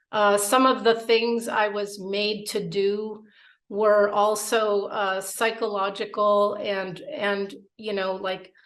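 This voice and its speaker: A woman's medium-pitched voice, very slow and monotone with flat intonation, in a room with audible echo. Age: 50s. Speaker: abuse survivor. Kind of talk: testimony. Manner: halting.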